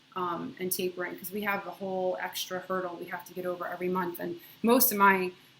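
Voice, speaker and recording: There is noticeable background noise behind a woman speaking at a fairly quick pace. Her pitch is medium, with ordinary variation. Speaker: video blogger sharing drug withdrawal experience. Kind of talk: casual video diary. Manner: halting, with many fillers; quiet.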